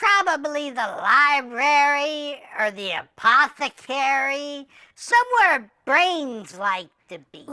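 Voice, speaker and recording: This put-on character voice sits high in pitch and moves at a very slow pace. There are hardly any pauses. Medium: audio drama. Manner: nervous, rambling.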